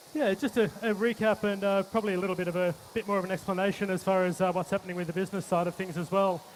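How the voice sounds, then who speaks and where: Someone with an Australian accent speaks at a very fast pace with fairly even intonation. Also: man, high pitch for a man. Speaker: chef. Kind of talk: cooking demonstration. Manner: halting, many fillers.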